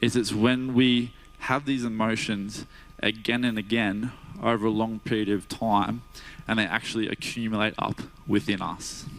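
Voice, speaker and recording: A man with an Australian accent speaks at a medium pitch and a fairly slow pace. His pitch varies in an ordinary way. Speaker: guest preacher, cardiac sonographer by day. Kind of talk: sermon. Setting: church. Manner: casual, hesitant with fillers.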